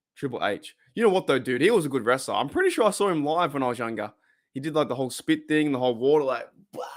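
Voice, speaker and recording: A man talks very fast with an Australian accent, his pitch fairly high and his intonation lively. The recording is very clean with a silent background. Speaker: sports fan livestream host. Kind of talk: casual livestream chat. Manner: casual, halting with many restarts.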